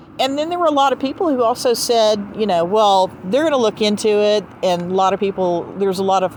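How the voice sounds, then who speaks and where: Fairly quick speech in a Southern US accent with lively intonation, very even loudness and hardly any pauses. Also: woman, fairly high pitch for a woman. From US South. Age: 60s. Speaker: podcast host. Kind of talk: casual chat. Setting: outdoors.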